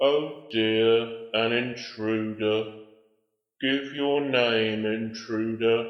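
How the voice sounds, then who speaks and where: A man at a medium pitch uses a put-on character voice. He speaks at a very slow pace with slight echo. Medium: audio drama. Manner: weary, sighing.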